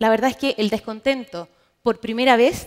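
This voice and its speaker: At a moderate pace, a woman with a fairly high pitch speaks in an unremarkable speaking voice. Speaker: market research manager. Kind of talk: conference presentation.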